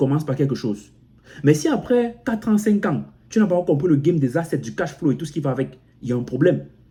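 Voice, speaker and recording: Talking at a very fast pace, a man with an African accent sounds somewhat breathy and uses lively intonation. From Cameroon. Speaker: motivational YouTuber. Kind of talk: motivational vlog monologue. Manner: repetitive, halting with frequent self-restarts.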